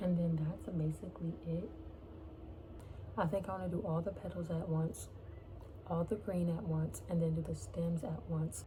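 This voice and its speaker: A woman whispers at a moderate pace, her loudness very even. Long, frequent pauses break it up, and the room echo is audible. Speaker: crochet vlogger. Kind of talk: casual vlog talk. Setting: home, at a desk in her bedroom. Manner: whispering.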